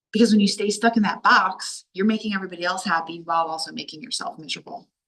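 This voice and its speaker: A woman speaks loud and very fast, her tone animated, bright and sharp. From Delaware, US. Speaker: life coach. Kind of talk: online workshop talk. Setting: video call.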